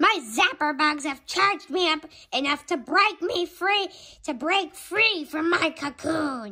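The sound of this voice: On a very clean recording with a silent background, a woman uses a put-on character voice at an extremely high pitch and a fairly slow pace.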